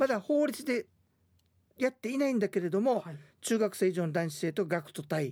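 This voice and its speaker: Delivered at a moderate pace with very wide pitch swings, the voice sounds dry and close with no echo in a very clean recording with a silent background. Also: man, high pitch for a man. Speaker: radio host and history guide. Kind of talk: radio talk about history. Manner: conversational, with frequent tag particles.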